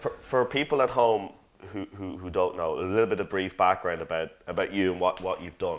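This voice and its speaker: Against a quiet background, the speaker moves at a fairly quick pace with an Irish accent and ordinary pitch variation. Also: man, fairly low pitch for a man. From Ireland. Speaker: interview host. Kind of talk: interview. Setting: studio.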